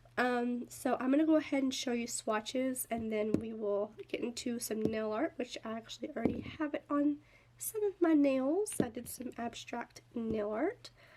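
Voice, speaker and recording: With hardly any pauses, a woman speaks in a high pitch against noticeable background noise. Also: ordinary pitch variation, moderate pace. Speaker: nail art youtuber. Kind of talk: tutorial. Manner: animated.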